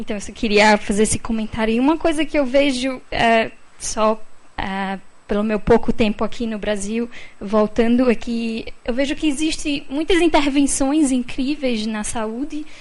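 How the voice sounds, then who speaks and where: Speaking with a non-native accent, a woman uses a high pitch and ordinary pitch variation. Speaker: audience member asking a question. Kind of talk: question from the floor at a panel event. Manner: halting, many fillers.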